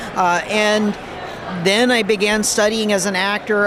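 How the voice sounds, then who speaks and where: A man with an American accent speaks in a flat monotone, with audible room echo and noticeable background noise. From Los Angeles and New Jersey (Air Force brat). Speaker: voice actor. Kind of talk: convention interview. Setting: convention floor.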